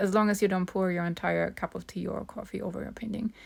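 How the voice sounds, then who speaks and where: In a very clean recording with a silent background, a woman with a non-native accent speaks at a medium pitch with fairly even intonation. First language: not English. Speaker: art tutorial creator. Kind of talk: tutorial voice-over. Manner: hesitant, many fillers.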